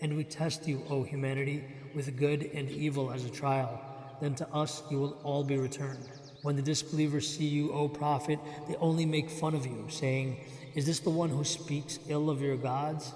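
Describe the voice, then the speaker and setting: The intonation is monotone and flat, at a moderate pace. Noticeable background noise runs underneath. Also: man, fairly high pitch for a man. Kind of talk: scripture reading.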